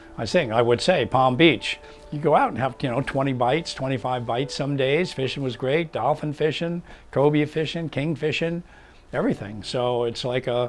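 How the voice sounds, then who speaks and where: With music in the background, a man's voice comes through at a fairly high pitch. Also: ordinary pitch variation, moderate pace. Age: 70s. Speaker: charter fishing captain. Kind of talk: interview.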